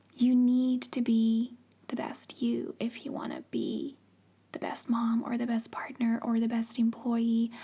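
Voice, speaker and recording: Soft-spoken and high-pitched, a woman talks at a fairly slow pace in a dark, mellow tone with fairly even intonation. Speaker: ASMR content creator. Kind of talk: personal storytelling.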